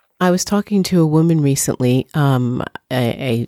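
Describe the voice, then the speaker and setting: In a New York accent, a woman with a very deep, low pitch and a dark, mellow tone speaks with lively intonation, the sound dry and close with no echo. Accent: New York American. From US, New York. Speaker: journalist and filmmaker. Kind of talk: interview.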